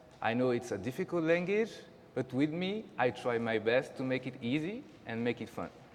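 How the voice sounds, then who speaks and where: This man speaks with a French accent. His pitch is medium. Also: lively intonation, moderate pace. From France. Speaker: teacher. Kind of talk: school open house presentation. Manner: halting.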